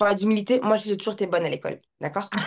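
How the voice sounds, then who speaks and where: At a moderate pace, a woman talks in a medium-pitched voice. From France. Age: 30s. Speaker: life coach and content creator. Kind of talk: casual chat.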